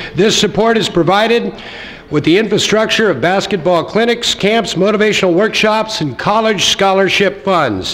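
A man speaks at a high pitch with ordinary pitch variation. His loudness stays very even. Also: moderate pace. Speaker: event host. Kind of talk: formal ceremony welcome speech. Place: hall. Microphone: podium.

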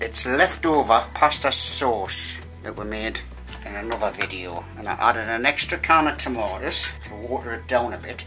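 The speech moves at a moderate pace while clear music is heard in the background. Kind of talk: casual cooking chat. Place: kitchen. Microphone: phone near.

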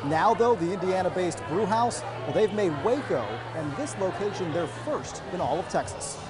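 At a moderate pace with hardly any pauses, the voice makes very wide pitch swings over clear music in the background. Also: man, high pitch for a man. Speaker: television news anchor and reporter. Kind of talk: TV news anchor delivery. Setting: on location, live reporter package. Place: studio.

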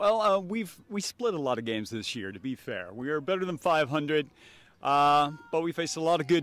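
The delivery moves at a moderate pace. The sound is dry, with no echo. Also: man. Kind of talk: interview answer. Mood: relaxed, joking. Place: stadium. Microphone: handheld.

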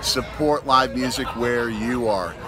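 A man's voice sounds dry with no echo while music plays clearly behind him. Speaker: father vlogger. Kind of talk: casual vlog chat. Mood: enthusiastic, upbeat. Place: street. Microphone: phone near.

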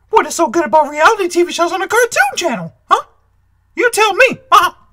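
In a cartoonish character voice, the speaker talks at a fairly quick pace with extremely high pitch. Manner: ranting, irritated.

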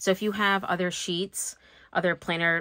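Her pitch sits fairly low. A woman speaks with a bright, sharp tone. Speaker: planner hobbyist YouTuber. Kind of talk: casual talk to camera. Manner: soft-spoken. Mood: self-deprecating, relaxed. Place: home room. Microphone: phone near.

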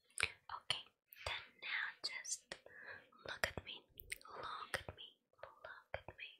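A soft-spoken woman whispering at a very slow pace over loud background noise. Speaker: role-play host. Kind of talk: soft-spoken ASMR role play. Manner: soft whispered instructions.

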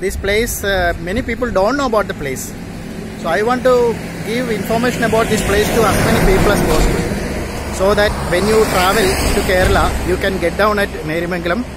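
A man talking at a very fast pace, with ordinary pitch variation, a dry sound with no echo and loud background noise. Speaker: travel blogger. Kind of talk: casual vlog chat. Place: street. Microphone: phone near.

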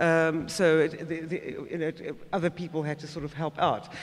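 A man with a high pitch speaks at a fairly quick pace. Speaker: moderator. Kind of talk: panel discussion. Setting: stage with audience. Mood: earnest, personal. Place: hall. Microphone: podium.

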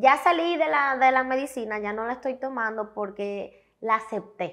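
A woman at a fairly high pitch and moderate pace against a quiet background. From Dominican Republic, Santiago; Dominican Republic. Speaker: comedian and influencer; talk show guest. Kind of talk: interview. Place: studio. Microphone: lapel.

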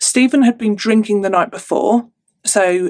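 Against a quiet background, a woman speaks in an animated tone at a fairly slow pace with ordinary pitch variation. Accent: English. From England. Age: 30s. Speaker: true crime youtuber. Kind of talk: storytelling monologue to camera. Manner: chatty, animated. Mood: somber, reflective at times. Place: home room.

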